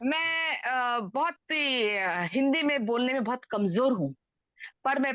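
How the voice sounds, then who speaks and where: A woman is talking. Her pitch swings very widely up and down. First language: Telugu (speaking Hindi). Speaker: preacher. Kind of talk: sermon. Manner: code-switching Hindi and English.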